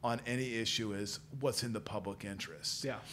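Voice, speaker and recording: Fairly quick speech from a man with a Midwestern American accent. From central Illinois (Peoria). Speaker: policy institute director, former journalist. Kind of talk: interview conversation.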